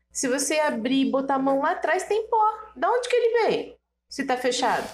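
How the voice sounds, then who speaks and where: This woman's voice makes very wide swings in pitch. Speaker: guest, host's mother. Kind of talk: casual chat.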